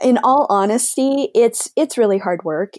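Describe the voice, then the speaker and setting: A woman speaks in an ordinary speaking voice at a fairly high pitch and a moderate pace. Her intonation is lively, and the sound is dry and close with no echo. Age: 50s. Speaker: business owner. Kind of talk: interview.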